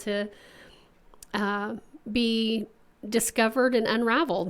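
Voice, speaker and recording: In an Oklahoma accent, a woman speaks at a fairly slow pace. Her pitch is fairly high and her intonation fairly even. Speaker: podcast co-host. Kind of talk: casual chat.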